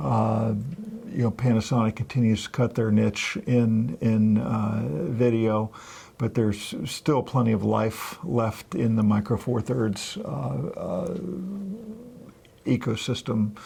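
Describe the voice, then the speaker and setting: This soft-spoken voice moves at a very slow pace. Its intonation is lively. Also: man, medium pitch for a man. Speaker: photography video co-host. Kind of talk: casual chat. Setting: studio.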